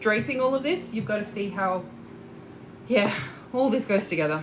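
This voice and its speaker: Over noticeable background noise and audible room echo, a woman with a fairly high voice speaks at a moderate pace with lively intonation. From Australia. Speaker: corset maker and sewing teacher. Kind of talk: live tutorial. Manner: casual, hesitant with fillers; talkative.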